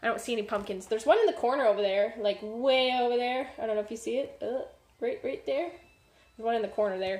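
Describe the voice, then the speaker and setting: Rushing at a very fast pace, a woman's fairly high voice shows ordinary pitch variation. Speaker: streamer cooking show host. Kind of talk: live-streamed cooking tutorial. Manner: casual, many fillers and false starts.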